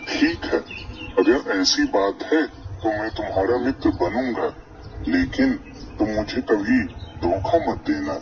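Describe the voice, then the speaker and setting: A man performs a cartoonish character voice at a fairly slow pace. Long, frequent pauses break it up, and background noise is clearly audible. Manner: gentle, trusting.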